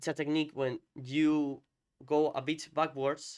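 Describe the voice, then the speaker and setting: The audio is very clean, with total silence behind it. In a Spanish accent, a man is speaking. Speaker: fighting game content creator, interviewer. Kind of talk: casual chat, match analysis. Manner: halting.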